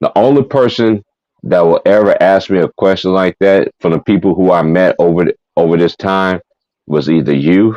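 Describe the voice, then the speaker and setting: This man's voice is very deep and low, with a dark, mellow tone and ordinary pitch variation. He keeps a moderate pace and very even loudness, and the sound is dry and close with no echo. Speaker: live streamer. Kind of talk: casual chat. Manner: animated.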